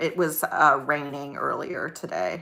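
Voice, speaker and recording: A woman talks at a very slow pace. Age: 40s. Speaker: YouTuber. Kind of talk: casual chat. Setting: livestream.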